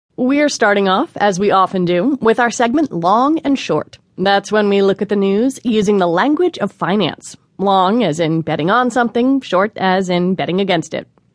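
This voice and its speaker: An unremarkable speaking voice with lively intonation, a moderate pace and hardly any pauses, its loudness very even and the sound dry and close with no echo. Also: woman, medium pitch for a woman. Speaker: radio host. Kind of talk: public radio news show host intro and interview banter. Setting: studio. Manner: polished, warm, conversational, upbeat.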